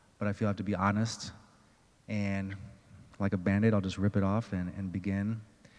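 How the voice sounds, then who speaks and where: Soft-spoken, fairly quick delivery with monotone, flat intonation and long, frequent pauses. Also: man, fairly low pitch for a man. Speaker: restorative justice advocate, former prisoner. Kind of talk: personal testimony.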